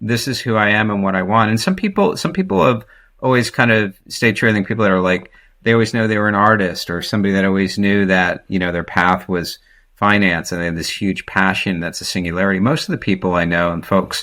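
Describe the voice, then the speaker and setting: A man with an American accent talks at a very fast pace in a fairly low pitch, his bright, sharp tone carrying fairly even intonation on a very clean recording with a silent background. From New Jersey. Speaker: business executive. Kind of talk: podcast interview. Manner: conversational, hesitant with fillers.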